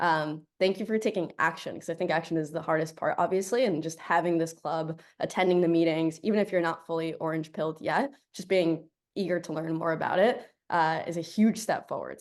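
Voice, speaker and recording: A woman speaks at a fairly quick pace in a fairly low pitch. Her pitch varies in an ordinary way over a quiet background. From South Florida, born in Colombia. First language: Spanish. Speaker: tech product manager, guest speaker. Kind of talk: guest talk to student club. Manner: animated.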